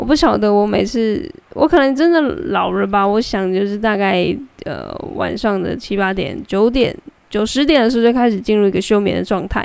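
Here a woman speaks at a medium pitch. Her intonation is lively and her pace moderate. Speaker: podcast host and volunteer delivering meals to elderly. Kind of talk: casual solo monologue. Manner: many filler words and verbal tics.

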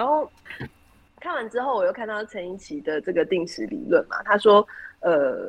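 Her pitch sits at a medium level. The woman talks at a moderate pace. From Taiwan, Taoyuan. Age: 30s. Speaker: heart surgeon and city council candidate. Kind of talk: interview.

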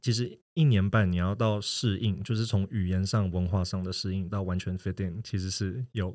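A man with a Taiwanese accent speaks at a moderate pace in a dark, mellow tone. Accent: Taiwanese Mandarin. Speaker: guest who works in consulting and lived in Shanghai, New York. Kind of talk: casual podcast interview.

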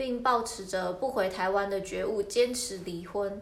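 A woman speaks at a fairly slow pace with medium pitch and fairly even intonation. Audible room echo surrounds her voice. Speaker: podcast co-host. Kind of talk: casual chat; news reading. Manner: halting.

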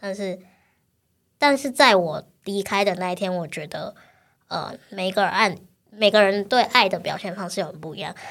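Recorded very cleanly over a silent background, the voice keeps a moderate pace and ordinary pitch variation. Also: woman. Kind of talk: interview conversation. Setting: studio.

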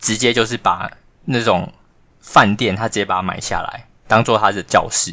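The tone is bright and sharp. Delivery comes at a moderate pace with fairly even intonation. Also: man, medium pitch for a man. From Taiwan. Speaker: podcast co-host, former language school student manager. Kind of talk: casual chat.

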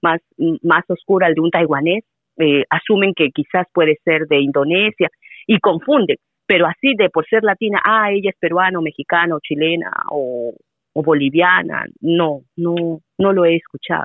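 With a plain, everyday voice, a woman speaks at a fairly slow pace with a fairly low pitch, ordinary pitch variation, and very even loudness. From Peru. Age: 40s. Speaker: Spanish teacher. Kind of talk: casual interview conversation.

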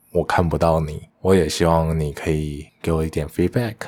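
The speaker is a man with a very deep, low pitch. His intonation stays fairly even. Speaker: podcast host, engineer. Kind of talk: casual solo monologue.

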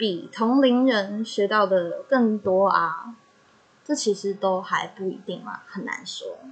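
A woman with a Taiwanese accent, fairly high pitch, ordinary pitch variation, a very slow pace, big swings in loudness, and noticeable background noise. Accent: Taiwanese Mandarin. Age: young. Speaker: podcaster. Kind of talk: personal monologue.

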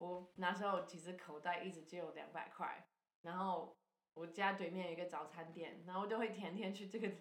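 A woman with an English accent speaks at a fairly low pitch and a fairly quick pace, her intonation monotone and flat. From Canada. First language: English (speaking Chinese). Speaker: charity founder and former missionary. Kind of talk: casual interview.

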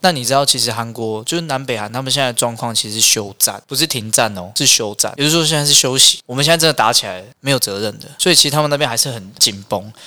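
A man talks at a very fast pace and a medium pitch. His tone is bright and sharp. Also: ordinary pitch variation. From Taiwan, Hualien. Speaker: restaurant owner. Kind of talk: casual chat.

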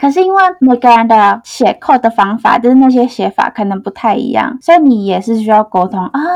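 Here a woman with a plain, everyday voice talks at a fairly quick pace and a fairly high pitch. The sound is dry and close, with no echo. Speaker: front-end engineer. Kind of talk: interview. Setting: studio.

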